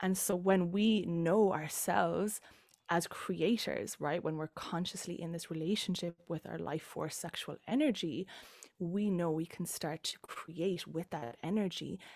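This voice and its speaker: In an Irish accent, a woman speaks at a fairly slow pace. Her pitch is fairly low, with ordinary variation. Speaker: embodiment coach. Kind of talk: casual chat.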